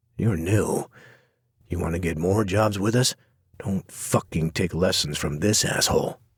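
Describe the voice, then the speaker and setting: A man puts on a growling character voice with a very deep, low pitch, ordinary pitch variation and a moderate pace. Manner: threatening, aggressive.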